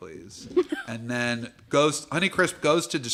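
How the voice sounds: Lively intonation in a natural reading voice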